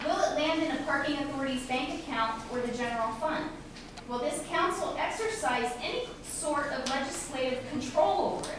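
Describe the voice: A woman's high-pitched voice at a moderate pace, with ordinary pitch variation and audible room echo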